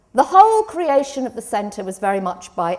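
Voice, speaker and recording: The woman here speaks at a fairly quick pace. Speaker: law professor. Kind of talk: conference talk. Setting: conference stage with audience. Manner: loud.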